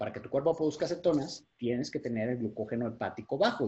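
A man talks in a somewhat breathy, medium-pitched voice whose pitch varies in an ordinary way. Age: 40s. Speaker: fitness and nutrition coach. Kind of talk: interview explanation.

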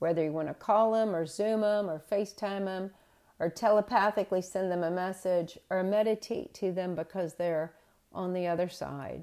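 A woman with a Southern US accent speaks at a moderate pace in a fairly low pitch, with a dark, mellow tone and fairly even intonation. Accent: Southern US (Georgia). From US South. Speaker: spiritual medium and reverend, podcast host. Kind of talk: spiritual talk and storytelling.

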